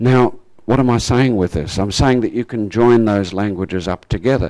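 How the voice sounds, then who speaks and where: A man speaks at a moderate pace with ordinary pitch variation. The sound is dry and close, with no echo. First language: German. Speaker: creation science speaker. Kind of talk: lecture.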